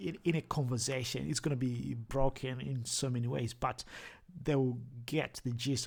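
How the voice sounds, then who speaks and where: Somewhat breathy and medium in pitch, a man speaks with a strong Zimbabwean accent and fairly even intonation. The recording is very clean, with a silent background. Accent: thick Zimbabwean. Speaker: language learning vlogger. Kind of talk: tutorial. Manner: halting, many repetitions.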